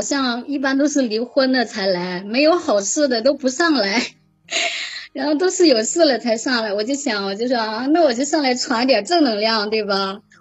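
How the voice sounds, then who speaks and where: A woman's high voice at a moderate pace over noticeable background noise. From Shandong, Jinan (born Xishuangbanna). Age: 20s. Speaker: caller. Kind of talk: casual chat. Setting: online voice call. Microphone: laggy connection.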